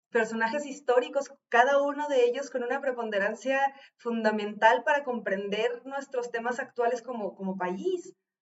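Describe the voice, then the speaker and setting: A woman's high voice in a Mexican accent, at a moderate pace. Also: ordinary pitch variation. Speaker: video reaction commentator. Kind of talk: reaction commentary on an interview.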